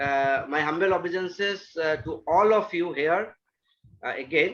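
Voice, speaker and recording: The speaker has an Indian accent and a moderate pace. Pitch varies in an ordinary way. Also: man, high pitch for a man. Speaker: astrologer. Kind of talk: talk to an online devotee group. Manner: halting, many fillers.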